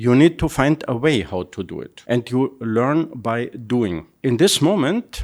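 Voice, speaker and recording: With lively intonation, a man talks at a medium pitch and fairly slow pace in an unremarkable speaking voice, on a very clean recording with a silent background. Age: 60s. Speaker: entrepreneur. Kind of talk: interview.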